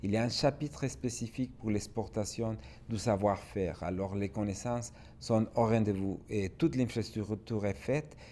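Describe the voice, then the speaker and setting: At a moderate pace, a man speaks with a fairly low pitch, a dark, mellow tone, vocal fry and ordinary pitch variation. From Mexico. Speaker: business expert speaker. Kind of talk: webinar presentation.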